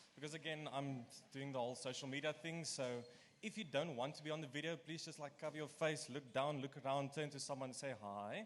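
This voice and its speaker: A man talks at a fairly quick pace and a fairly high pitch. His pitch variation is ordinary. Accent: Afrikaans. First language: Afrikaans. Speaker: student committee member. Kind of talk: welcome talk to students. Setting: lecture room.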